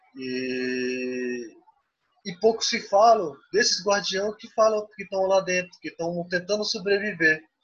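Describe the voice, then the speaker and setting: Pitched high, a man speaks at a very slow pace with lively intonation and big swings in loudness. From Xingu region, Pará, Brazil. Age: 20s. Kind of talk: interview. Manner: halting.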